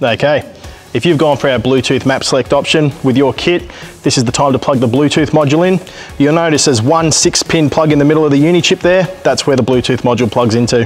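Faint music plays in the background as a man speaks at a very fast pace with very even loudness. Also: ordinary pitch variation. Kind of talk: tutorial. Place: workshop.

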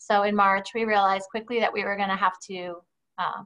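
A woman speaks here. Behind her, the background stays quiet. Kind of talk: presentation to board. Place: home room. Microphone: video call.

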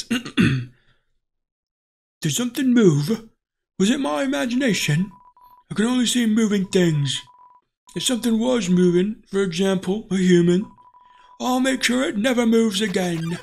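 This is a put-on character voice at a moderate pace. Long, frequent pauses run through it. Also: man, high pitch for a man. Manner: menacing, suspicious.

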